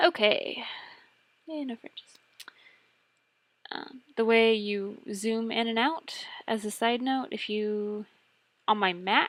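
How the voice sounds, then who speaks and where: This woman speaks at a very slow pace. Her loudness swings widely. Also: ordinary pitch variation. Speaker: photographer. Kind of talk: software tutorial narration. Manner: casual, conversational.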